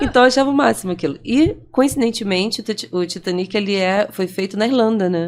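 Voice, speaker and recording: A woman of medium pitch with a Rio de Janeiro accent, lively intonation, a fairly quick pace and hardly any pauses. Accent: Brazilian Portuguese, carioca. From Brazil, Rio de Janeiro. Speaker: franchisee and entrepreneur. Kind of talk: podcast interview, personal story.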